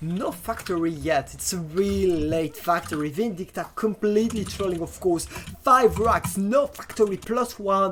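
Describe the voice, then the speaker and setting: Over music in the background, a woman with a French accent speaks with lively intonation. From France. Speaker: esports talk show host and caster. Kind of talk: live game commentary. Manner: halting, many fillers.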